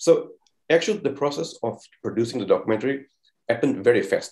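A man speaks with a Portuguese accent at a fairly high pitch. His pace is fairly quick. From Portugal. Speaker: documentary filmmaker; panelist. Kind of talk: panel discussion; panel discussion answer. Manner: halting. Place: home room. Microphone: earbuds.

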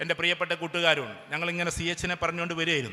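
A man is speaking. His tone is bright and sharp. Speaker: motivational speaker. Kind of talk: public speech. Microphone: sound problem with speaker system.

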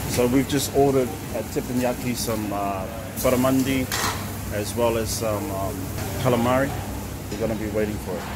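There is loud background noise. Through it, a man talks at a fairly quick pace. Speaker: vlogger. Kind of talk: casual vlog chat. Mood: cheerful, celebratory. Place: cafe. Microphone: phone near.

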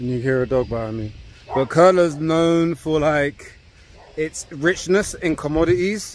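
In a London accent, a man speaks at a fairly slow pace with a fairly high pitch. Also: dry sound with no echo. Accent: British, London. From UK. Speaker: travel vlogger. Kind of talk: vlog narration. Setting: outdoors. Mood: upbeat, impressed. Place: open country. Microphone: phone near.

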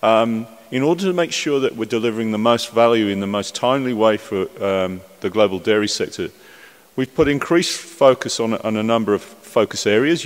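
The pace is fairly quick as a man speaks, his pitch varying in an ordinary way. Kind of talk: conference speech. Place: hall. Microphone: podium.

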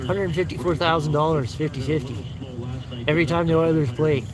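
Clear background noise runs behind the recording. A man speaks at a fairly quick pace and a fairly high pitch. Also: ordinary pitch variation.

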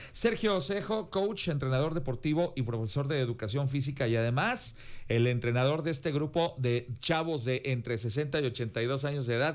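A man's fairly high voice with lively intonation, at a moderate pace with hardly any pauses and very even loudness, over a quiet background. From Mexico. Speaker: news anchor. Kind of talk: panel discussion. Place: studio. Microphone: studio mic.

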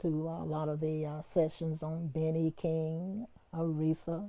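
A woman with an American accent speaks very slowly in a very deep, low pitch with a dark, mellow tone. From US South. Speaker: retired radio DJ; former radio DJ. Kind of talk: interview testimony. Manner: animated. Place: home room. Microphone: lapel.

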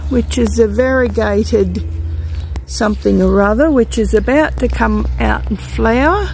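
The speech comes at a fairly slow pace, with a dry sound, no echo, and light background noise. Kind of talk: casual vlog chat. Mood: relaxed, fond. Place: garden. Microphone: phone near.

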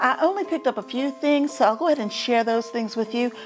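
A woman at a very fast pace over clear music in the background. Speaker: home decor vlogger. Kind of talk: casual haul vlog chat. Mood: cheerful. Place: home room. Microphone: lapel.

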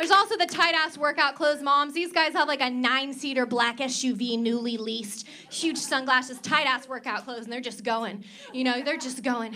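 Over light background noise, a woman uses a raised, projected voice at a high pitch with ordinary pitch variation. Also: moderate pace. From Oklahoma. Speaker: stand-up comedian. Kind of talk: stand-up. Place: stage. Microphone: handheld.

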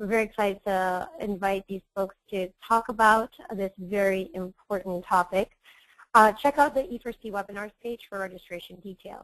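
A woman uses a normal speaking voice at medium pitch and a moderate pace, with fairly even intonation. Her loudness swings widely, and the sound is dry and close with no echo. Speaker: webinar moderator, engineering program manager. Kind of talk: webinar moderation. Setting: live online webinar. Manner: formal.

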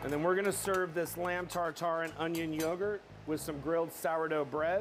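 With music in the background, a man talks at a fairly quick pace in a high pitch with monotone, flat intonation. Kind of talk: cooking tutorial. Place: kitchen.

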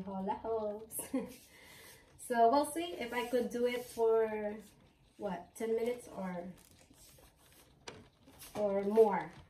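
Room echo can be heard clearly. The delivery is very slow. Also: woman. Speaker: home vlogger. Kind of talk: casual vlog chat. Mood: cheerful, laughing often. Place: home room. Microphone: camera far.

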